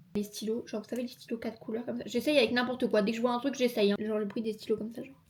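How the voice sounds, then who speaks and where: A woman's fairly high voice in a playful tone, very fast with hardly any pauses, fairly even intonation, big swings in loudness and noticeable background noise. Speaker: YouTuber. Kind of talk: casual talk to camera. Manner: chatty, playful, fast.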